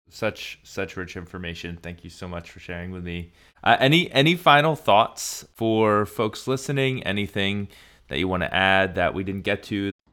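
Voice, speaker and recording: A man with a normal speaking voice talks at a moderate pace with a fairly low pitch. His intonation is lively and his loudness swings widely. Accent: American. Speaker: podcast host. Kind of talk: interview conversation.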